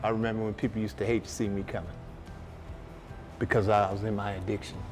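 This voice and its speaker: Music plays in the background as a man speaks at a fairly low pitch with fairly even intonation. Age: 60s. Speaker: former homeless program graduate. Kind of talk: testimony.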